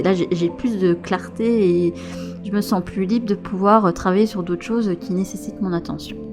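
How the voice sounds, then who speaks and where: Soft-spoken and gentle in tone, the speaker moves at a fairly slow pace with ordinary pitch variation. Music plays in the background. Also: woman. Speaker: tarot and oracle card reader, spiritual guide. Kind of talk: casual talk to camera. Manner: soft-spoken, gentle.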